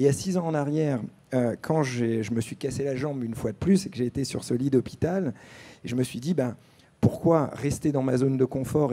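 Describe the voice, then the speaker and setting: In a dark, mellow tone, a man speaks with ordinary pitch variation. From France, born in Algeria; France. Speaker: entrepreneur and former extreme athlete; panelist. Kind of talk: panel discussion. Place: stage. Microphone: handheld.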